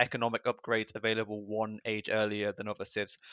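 A man with an English accent at a fairly quick pace, in a dry, close sound with no echo. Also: quiet background. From England. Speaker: video game player and commentator. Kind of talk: casual chat and game analysis.

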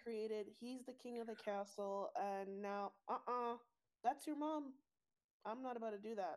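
A woman talks in an ordinary speaking voice at a moderate pace. Her pitch is fairly high, with ordinary pitch variation. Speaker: special guest. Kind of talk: casual chat, show recap.

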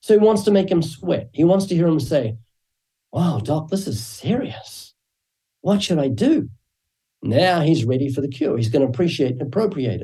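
With a slight New Zealand accent, a man speaks at a moderate pace in a dark, mellow tone, his fairly high pitch making very wide swings. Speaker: evangelist and author. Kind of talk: interview.

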